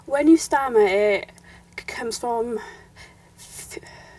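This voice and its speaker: Very slow speech with lively intonation, over noticeable background noise. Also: woman. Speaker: YouTuber. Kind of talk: interview answer.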